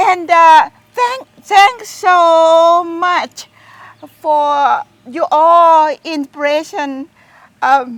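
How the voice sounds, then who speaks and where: A woman with a Thai accent speaks at a very slow pace in an extremely high pitch, with long, frequent pauses. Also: lively intonation. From Thailand. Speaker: garden owner. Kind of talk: interview. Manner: halting.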